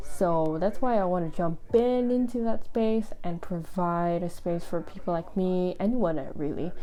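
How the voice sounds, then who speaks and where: A woman with a non-native accent speaks at medium pitch in a dark, mellow tone, with ordinary pitch variation. Her pace is moderate with hardly any pauses, and the room echo is audible. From Indonesia. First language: not English. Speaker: book youtuber and blogger. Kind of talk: casual vlog talk to camera.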